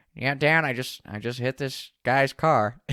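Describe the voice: Putting on a raspy, nasal character voice, a man speaks at a moderate pace and medium pitch with fairly even intonation, the sound dry and close with no echo.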